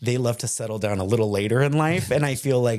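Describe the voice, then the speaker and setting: Speaking at a very fast pace, a man with an American accent has a dark, mellow tone and lively intonation. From Texas, Lewisville. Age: 20s. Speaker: drag performer. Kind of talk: casual chat.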